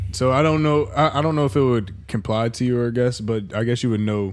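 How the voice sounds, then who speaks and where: His voice is a plain, everyday voice. This man's pitch sits in the medium range and varies in an ordinary way. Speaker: guest co-host. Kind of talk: casual chat. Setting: guest's home.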